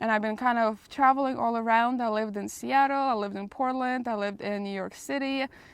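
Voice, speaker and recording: Speaking very fast with a Russian accent, a woman keeps a fairly high pitch and fairly even intonation. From Russia, Moscow. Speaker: vlogger. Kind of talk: casual Q&A vlog.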